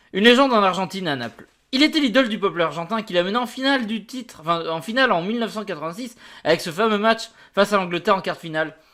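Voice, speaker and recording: In a very clean recording with a silent background, a man speaks at a very fast pace in a raised, projected voice with a high pitch, a bright, sharp tone and lively intonation. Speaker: football youtuber. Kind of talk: reading an article aloud with comments. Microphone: new mic.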